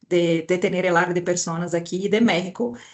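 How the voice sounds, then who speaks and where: Speaking with a Brazilian accent, a woman keeps a medium pitch and fairly even intonation. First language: Portuguese (speaking Spanish). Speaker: HR director. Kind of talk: webinar panel talk.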